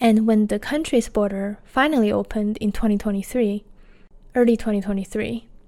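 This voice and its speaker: In a Chinese accent, a woman talks with a dark, mellow tone, fairly high pitch and fairly even intonation. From China. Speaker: podcaster, laid-off tech worker. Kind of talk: personal storytelling monologue.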